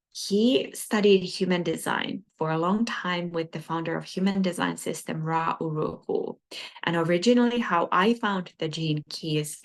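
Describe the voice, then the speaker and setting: In a non-native accent, a woman speaks at a fairly slow pace with a fairly low pitch and ordinary pitch variation. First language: not English. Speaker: spiritual teacher. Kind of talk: lecture. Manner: hesitant, with frequent fillers.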